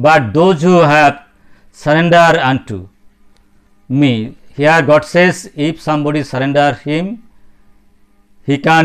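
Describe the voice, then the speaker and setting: Speaking at a very slow pace, a man uses a fairly high pitch. His pitch variation is ordinary. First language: Bengali. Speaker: spiritual speaker. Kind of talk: religious talk. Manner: halting.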